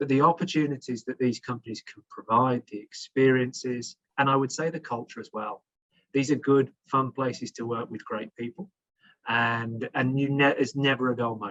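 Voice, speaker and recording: Someone with a British accent speaks at a moderate pace with fairly even intonation. Loudness swings a lot, and the sound is dry and close with no echo. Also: man, medium pitch for a man. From England. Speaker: HR executive, panelist. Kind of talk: panel discussion. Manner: halting, many repetitions.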